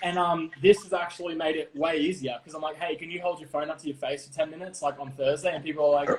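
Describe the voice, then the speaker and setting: Over noticeable background noise, a man talks at a very fast pace with hardly any pauses, a fairly high pitch, fairly even intonation and big swings in loudness. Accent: Australian. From Australia, Melbourne. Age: 30s. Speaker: TV host and producer. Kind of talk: casual interview.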